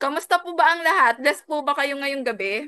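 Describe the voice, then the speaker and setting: Pitched high, a woman's raised, projected voice carries a bright, sharp tone. Her delivery moves at a fairly slow pace. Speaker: business coach, former teacher. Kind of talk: business opportunity seminar. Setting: video call. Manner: energetic.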